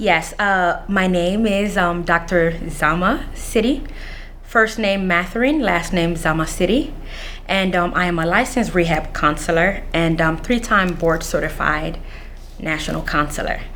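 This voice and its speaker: A woman talks with lively intonation and very even loudness. Audible room echo and noticeable background noise surround her voice. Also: medium pitch for a woman, fairly slow pace. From Central African Republic, raised in Washington DC (Anacostia) from age 7. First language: not English (English is fifth language). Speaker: mental health counselor with a PhD, former scholarship recipient. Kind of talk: interview. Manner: hesitant, many filler sounds.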